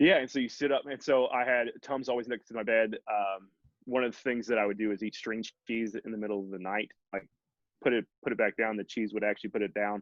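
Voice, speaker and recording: Speaking very fast, a man uses an American accent. His medium-pitched voice keeps a fairly even intonation. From Texas. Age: 30s. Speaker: keto dieter sharing weight-loss story. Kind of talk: casual interview. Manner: halting, many restarts and fillers.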